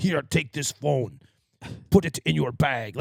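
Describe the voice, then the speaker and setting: Putting on a character voice, a man speaks at a medium pitch and a fairly slow pace, with a dry, close sound and no echo. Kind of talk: clean and precise.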